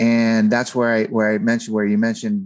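Recorded very cleanly against a silent background, a man speaks at a medium pitch with an American accent. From California, San Fernando Valley. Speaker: author. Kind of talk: interview.

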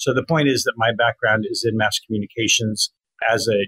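This man has a normal speaking voice at medium pitch, with fairly even intonation. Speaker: copywriter and former journalist. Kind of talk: interview.

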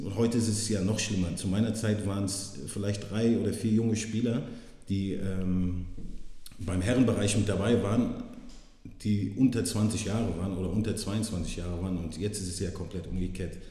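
The voice carries fairly even intonation amid noticeable background noise and audible room echo. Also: man. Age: 30s. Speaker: former professional footballer. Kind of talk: casual interview.

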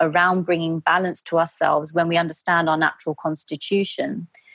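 In a London accent, a woman with a fairly low pitch speaks at a moderate pace, recorded very cleanly against a silent background with a dry, close sound and no echo. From London, England. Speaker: Ayurveda practitioner. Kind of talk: interview.

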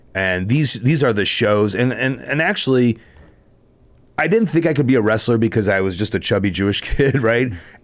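With an American accent, a man uses a plain, everyday voice at a medium pitch, speaking at a moderate pace with lively intonation. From Chicago. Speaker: professional wrestler. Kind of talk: casual chat.

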